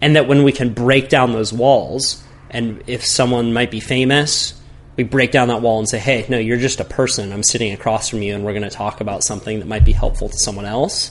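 A normal speaking voice from a man with an American accent, medium in pitch, at a fairly quick pace with fairly even intonation. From Santa Cruz, California. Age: 20s. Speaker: big wave surfer and podcast host. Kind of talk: casual chat.

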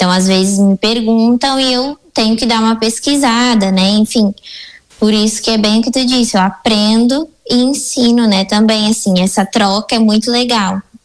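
In an ordinary speaking voice, a woman talks at a fairly high pitch and moderate pace, her intonation fairly even and her loudness very even. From Rio Grande do Sul, Brazil. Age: 20s. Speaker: preschool teacher. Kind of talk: radio interview. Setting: radio studio.

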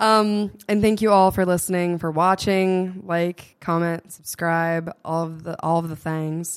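In an American accent, a woman with an ordinary speaking voice talks at a medium pitch and a fairly slow pace with fairly even intonation. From Massachusetts, Norton. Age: 20s. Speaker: podcast host. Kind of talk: casual interview conversation.

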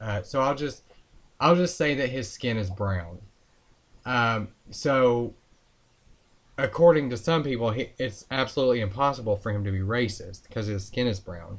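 At a moderate pace, a man with a medium pitch speaks with lively intonation and long, frequent pauses. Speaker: podcast co-host, political commentator. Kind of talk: casual political commentary podcast.

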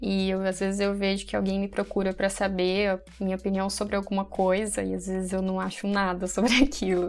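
A woman's normal speaking voice at medium pitch, at a fairly quick pace. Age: 20s. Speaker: pharmacy student and content creator. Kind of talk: casual interview.

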